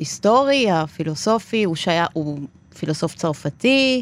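This woman's voice is fairly low. It swings very widely in pitch. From Argentina. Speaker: podcast host. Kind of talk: interview. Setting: studio.

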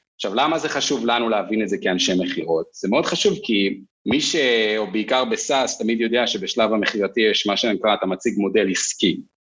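A man talks at a fairly quick pace, his medium pitch showing ordinary variation. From northern Israel. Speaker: sales executive. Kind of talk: casual interview.

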